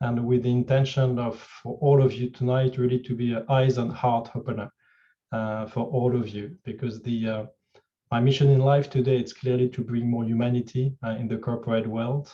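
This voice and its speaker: The voice is dark, mellow, and somewhat breathy, in a French accent. Its intonation is monotone and flat. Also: man, medium pitch for a man, moderate pace. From France. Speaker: executive coach. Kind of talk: fireside chat talk. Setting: video call.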